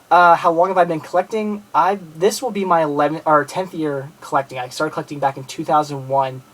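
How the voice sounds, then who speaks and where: Using fairly even intonation, a man with an American accent speaks at a very fast pace. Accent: Philadelphia-area accent, noticed by a viewer. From Philadelphia area, Pennsylvania, US. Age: 20s. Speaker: movie collector and video blogger. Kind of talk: casual video message to viewers. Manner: halting, many fillers and restarts.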